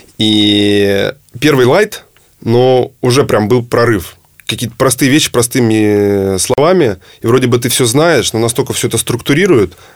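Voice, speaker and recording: This man has an unremarkable speaking voice, a medium pitch, ordinary pitch variation and a moderate pace. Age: 30s. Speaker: entrepreneur. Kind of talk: interview.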